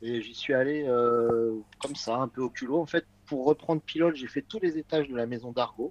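A man with a medium pitch and ordinary pitch variation talks at a moderate pace, the sound dry and close with no echo despite noticeable background noise. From France, Paris west suburbs. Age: 50s. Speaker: magazine editor-in-chief. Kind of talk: casual chat.

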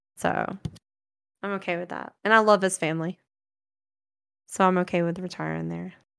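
A woman with a Southern US accent speaks at a moderate pace with long, frequent pauses. The recording is very clean, with a silent background. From US South, rural north Florida. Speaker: streamer. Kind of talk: casual chat.

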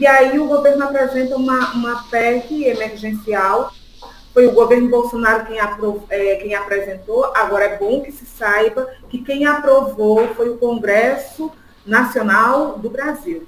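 In a northeastern Brazilian accent, the speaker goes at a fairly slow pace with ordinary pitch variation and big swings in loudness, over noticeable background noise. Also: woman, high pitch for a woman. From Brazilian Northeast (Pernambuco sertão, raised in Sergipe). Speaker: political activist. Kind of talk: political interview.

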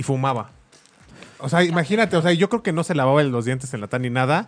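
Speaking very fast, a man uses a fairly high pitch. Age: 20s. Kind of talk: casual chat.

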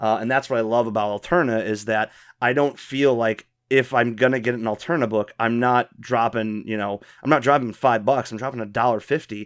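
In an American accent, a man with a plain, everyday voice speaks fairly quickly at a medium pitch with fairly even intonation. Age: 30s. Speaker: podcast host. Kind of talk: casual chat.

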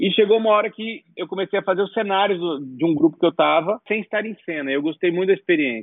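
This man talks at a very fast pace. His pitch is high. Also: ordinary pitch variation. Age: 40s. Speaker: set designer. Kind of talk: interview.

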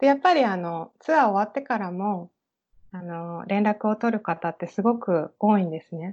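With an unremarkable speaking voice, the speaker moves at a moderate pace with lively intonation and big swings in loudness. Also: woman, medium pitch for a woman. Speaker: private tour guide. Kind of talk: interview.

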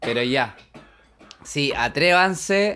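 A man with a Chilean accent, a bright, sharp tone and very wide pitch swings. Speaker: podcast co-host. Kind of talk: casual chat.

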